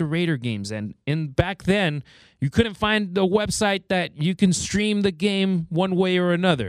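With an American accent, a man talks in an animated tone at a high pitch, using ordinary pitch variation at a moderate pace. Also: hardly any pauses, dry, close sound with no echo. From Los Angeles area and Mexico. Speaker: guest radio host, Spanish-language sports announcer. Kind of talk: sports talk radio.

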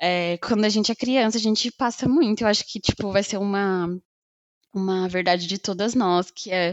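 Her intonation fairly even and her pitch medium, a woman talks in a normal speaking voice. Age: 20s. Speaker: podcast co-host. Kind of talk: casual chat.

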